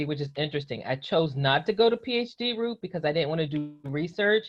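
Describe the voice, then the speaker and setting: A woman speaks with a West Virginia accent and a fairly low pitch. Her intonation is lively. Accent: faint West Virginia. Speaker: psychologist. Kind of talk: interview.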